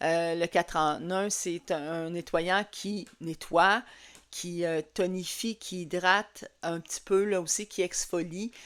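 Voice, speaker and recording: At a very slow pace, a woman talks at a fairly low pitch with fairly even intonation. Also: very clean recording, silent background. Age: 60s. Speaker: skincare consultant. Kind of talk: tutorial. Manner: halting, many fillers.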